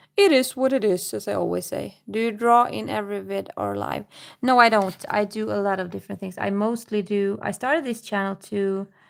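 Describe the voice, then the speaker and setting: The speaker has a Swedish accent. The pace is fairly quick. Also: woman. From Sweden. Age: 30s. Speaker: livestreamer. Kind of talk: casual chat. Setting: live stream. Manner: halting.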